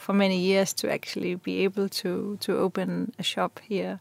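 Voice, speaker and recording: A woman speaks with a Danish accent. The sound is dry and close, with no echo. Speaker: fashion designer. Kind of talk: interview. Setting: studio.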